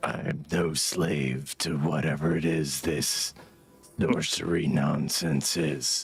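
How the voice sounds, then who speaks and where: A raspy put-on character voice, flat and monotone, very slow and very even in loudness, with music in the background. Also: man, very deep, low pitch for a man. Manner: disdainful, defiant.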